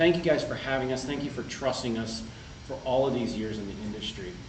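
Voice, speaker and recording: A man speaks at a medium pitch. Audible room echo and noticeable background noise surround his voice. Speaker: market research executive presenting data. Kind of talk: conference presentation. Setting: conference room with audience. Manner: casual, conversational.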